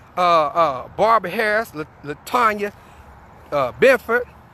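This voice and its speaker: Over a very clean, silent background, a man with a high pitch projects a raised voice with a bright, sharp tone and lively intonation at a moderate pace. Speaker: activist livestreaming a protest. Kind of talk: live street protest broadcast. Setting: outdoors on a sidewalk.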